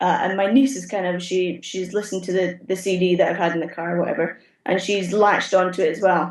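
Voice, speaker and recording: A woman with a Scottish accent at a very fast pace, medium pitch and fairly even intonation, hardly any pauses. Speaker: theatre automation technician. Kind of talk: interview answer.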